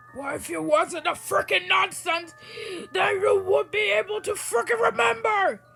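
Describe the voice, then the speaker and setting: This put-on character voice sits at an extremely high pitch and has very wide pitch swings. Faint music plays in the background. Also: moderate pace. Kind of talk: crude, ranting. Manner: screaming, angry.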